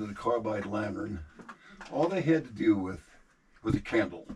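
Speech comes at a moderate pace with noticeable background noise. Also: man. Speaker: mine tour guide. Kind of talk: guided tour explanation. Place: tunnel cave. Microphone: camera far.

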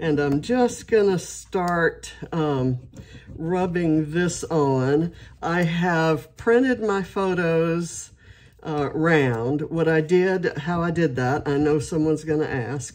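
A woman speaks with a fairly low pitch and ordinary pitch variation. Her pace is very slow. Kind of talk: casual craft tutorial chat. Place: home room.

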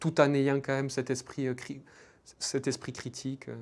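A man speaks at a fairly high pitch. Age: 20s. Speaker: PhD student researcher. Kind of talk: interview testimony. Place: studio. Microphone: lapel.

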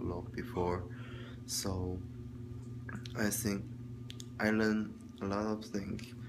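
This man has a fairly low pitch and a Chinese accent. His intonation stays fairly even over noticeable background noise. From China. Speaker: student vlogger. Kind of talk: video log monologue, class homework. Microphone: phone near.

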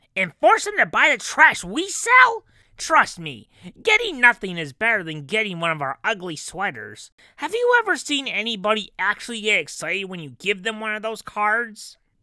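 At a moderate pace, a put-on character voice comes through with a fairly high pitch. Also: female-sounding voice.

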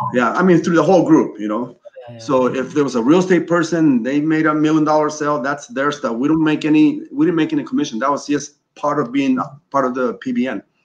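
Speaking at a very fast pace, a man uses a fairly high pitch. His pitch variation is ordinary. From Chile, moved to US as a child. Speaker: custom clothier and business owner. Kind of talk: interview conversation. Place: office. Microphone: video call.

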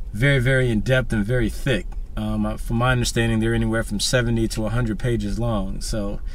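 A man talks at a moderate pace in a dry recording with no echo. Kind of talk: casual vlog chat. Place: car. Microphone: phone near.

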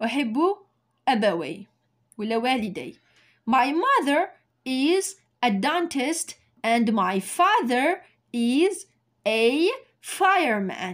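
A woman speaks at a very slow pace in a high voice with very wide pitch swings. Long, frequent pauses break up her speech against a quiet background. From Algeria. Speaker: English teacher. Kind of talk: tutorial. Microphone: phone near.

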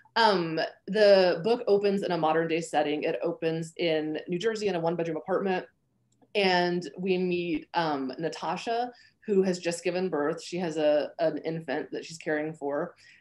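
An unremarkable speaking voice from a woman, fairly low-pitched, at a moderate pace with fairly even intonation. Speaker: novelist and professor. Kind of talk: interview. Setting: video call.

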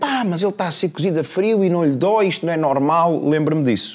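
Over a quiet background, a man with a European Portuguese accent speaks at a moderate pace with lively intonation. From Portugal. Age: 50s. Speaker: life coach. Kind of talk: casual interview chat. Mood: reflective, personal story of loss. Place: studio. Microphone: lapel.

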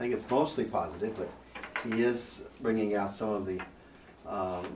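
A man speaks at a moderate pace with ordinary pitch variation. Light background noise and audible room echo are present. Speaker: priest presenter. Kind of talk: lecture. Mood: warm, light humor. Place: classroom.

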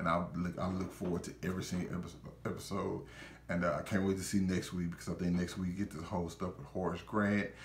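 The speech comes at a very fast pace and sounds somewhat breathy. Audible room echo and light background noise are present. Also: man, very deep, low pitch for a man. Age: 20s. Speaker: YouTuber reviewer. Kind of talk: casual video review monologue. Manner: animated, informal. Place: home room.

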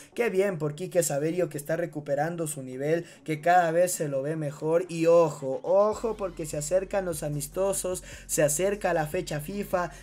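Moderate pace with hardly any pauses. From Ecuador. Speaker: football news YouTuber. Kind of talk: scripted sports news commentary.

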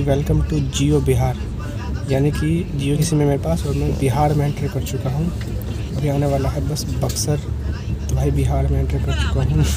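A man's voice, dry with no echo, moves at a moderate pace against loud background noise. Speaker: travel vlogger. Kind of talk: casual vlog chat. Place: train. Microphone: earbuds.

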